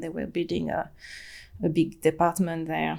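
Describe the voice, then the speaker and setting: A woman with a French accent, on a very clean recording with a silent background. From France, Atlantic coast. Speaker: human design practitioner, former compliance professional. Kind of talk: podcast interview. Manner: halting, many fillers.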